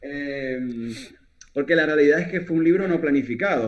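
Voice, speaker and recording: This man has a Zulian accent, a fairly high pitch and ordinary pitch variation. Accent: Venezuelan (Zulia) Spanish. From Venezuela, Maracaibo. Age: 20s. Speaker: poet. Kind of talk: casual chat.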